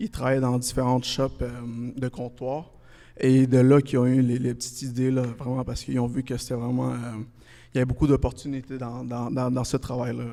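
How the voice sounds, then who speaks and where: Fairly quick and monotone, a man of medium pitch talks with flat intonation and a dark, mellow tone. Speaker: countertop company representative. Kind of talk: casual interview. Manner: hesitant, many fillers.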